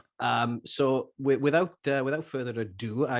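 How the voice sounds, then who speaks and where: A man with a Welsh accent talks at a fairly slow pace, his medium pitch carried by lively intonation. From Wales. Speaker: podcast co-host and church planter. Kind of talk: interview intro, casual. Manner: halting, many fillers.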